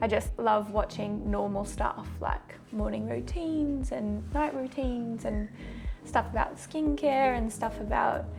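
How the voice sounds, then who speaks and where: With music in the background, a woman speaks fairly slowly in an Australian accent. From Australia, Queensland. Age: 30s. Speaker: fitness vlogger, dietitian and personal trainer. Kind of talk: casual vlog talk to camera.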